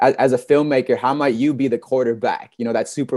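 A man with an American accent and a dark, mellow tone, his intonation fairly even, on a very clean recording with a silent background. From Michigan. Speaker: podcast host. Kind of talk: interview.

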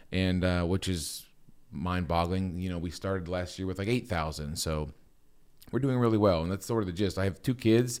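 Recorded very cleanly with a silent background, a man with a Midwestern American accent speaks at a moderate pace in a very deep, low voice with ordinary pitch variation. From US Midwest, Akron, Ohio area. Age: 40s. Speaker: investing YouTuber and photographer. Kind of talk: podcast interview.

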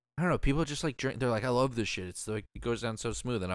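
On a very clean recording with a silent background, a man speaks with vocal fry in a dry, close sound with no echo. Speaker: podcast host. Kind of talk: casual chat.

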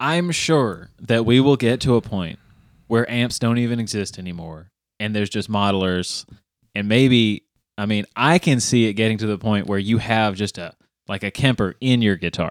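A man with an unremarkable speaking voice talks at a moderate pace in a fairly low pitch, with ordinary pitch variation, and the recording is very clean, dry and close, with no echo and a silent background. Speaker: podcast host. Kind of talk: casual banter.

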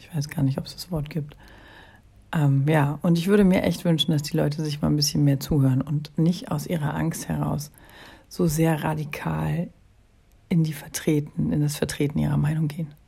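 A woman talks at a moderate pace in a very deep, low pitch with vocal fry. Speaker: podcast host. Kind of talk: solo monologue. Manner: hesitant, many filler sounds.

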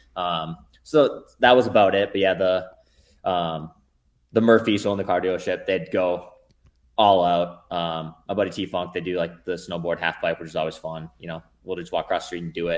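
A man's very deep, low voice with an American accent, fairly even intonation and big swings in loudness, at a moderate pace on a very clean recording with a silent background. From central Minnesota, small town. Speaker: elite ultramarathon runner. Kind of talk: casual interview.

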